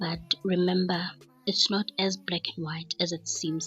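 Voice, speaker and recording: Whispering at a fairly slow pace, a woman speaks with music in the background. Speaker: forex trader and trading educator. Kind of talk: trade recap tutorial. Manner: casual, chatty.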